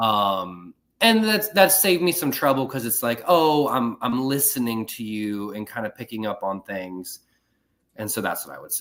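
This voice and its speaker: On a very clean recording with a silent background, a man with an American accent and an unremarkable speaking voice talks at a moderate pace. His medium-pitched delivery has lively intonation and big swings in loudness. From Ohio, US Midwest. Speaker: political communications staffer. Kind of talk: casual podcast chat.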